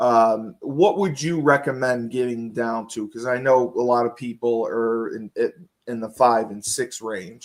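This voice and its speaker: A man's medium-pitched voice, fairly slow in pace, with ordinary pitch variation. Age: 40s. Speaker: podcast host. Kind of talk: casual chat. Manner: hesitant, filler-heavy.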